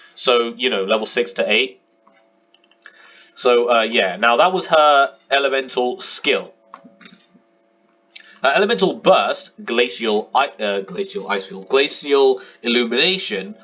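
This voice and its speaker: Music plays in the background while a man talks at a fairly slow pace. His intonation is lively, broken by long, frequent pauses. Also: medium pitch for a man. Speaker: gaming video commentator. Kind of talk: casual talk to camera.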